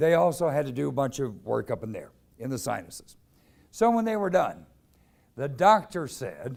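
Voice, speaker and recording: A man with an American accent speaks at a moderate pace in a fairly high pitch, his voice swinging very widely in pitch, with long, frequent pauses. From US Midwest, St. Louis. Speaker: recovery organization CEO, former newscaster. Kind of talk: public talk.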